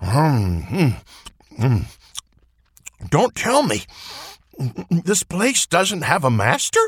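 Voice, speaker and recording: Vocal fry and very wide pitch swings come at a very slow pace, broken by long, frequent pauses, in a dry, close sound with no echo. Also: man, fairly high pitch for a man. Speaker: father character voice actor. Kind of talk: fairy-tale character dialogue.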